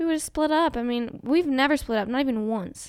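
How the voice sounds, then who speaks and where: A woman with an American accent and lively intonation, at a moderate pace, on a very clean recording with a silent background. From Colorado. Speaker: podcast co-host, fitness business owner. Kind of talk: casual chat.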